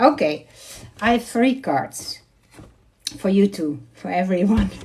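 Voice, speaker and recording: A woman speaks with a Dutch accent at a very slow pace. Her pitch swings very widely. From Netherlands. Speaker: card reader. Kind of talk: live tarot reading. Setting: livestream. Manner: halting.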